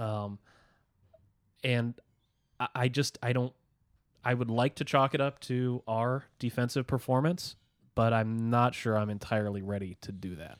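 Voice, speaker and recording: On a very clean recording with a silent background and a dry, close sound with no echo, a man speaks at a medium pitch and moderate pace with ordinary pitch variation and long, frequent pauses. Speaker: podcast co-host. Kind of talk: casual banter. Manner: hesitant, filler-heavy.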